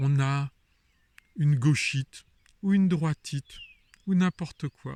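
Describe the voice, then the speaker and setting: Recorded with a dry, close sound and no echo, a man with a fairly high pitch and a somewhat breathy voice talks at a very slow pace, leaving long, frequent pauses, with ordinary pitch variation. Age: 60s. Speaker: wellness vlogger. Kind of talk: video monologue. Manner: animated.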